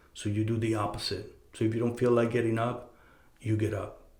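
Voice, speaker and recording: There is audible room echo around this man's voice. He sounds somewhat breathy. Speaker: podcast host. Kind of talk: casual advice monologue. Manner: halting, many fillers and repeated words.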